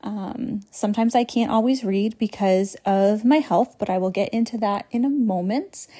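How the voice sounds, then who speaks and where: In a very clean recording with a silent background, a woman with a fairly high, somewhat breathy, dark and mellow voice speaks at a moderate pace with ordinary pitch variation. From New England. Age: 20s. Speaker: podcast host, online ministry founder. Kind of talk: casual monologue. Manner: rambling, tangential; frequent fillers and laughter.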